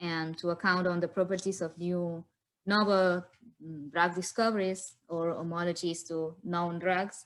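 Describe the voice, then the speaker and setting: A woman's fairly slow speech comes over a quiet background. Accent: Spanish. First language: Spanish. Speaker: philosopher of science. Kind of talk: conference Q&A. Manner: halting.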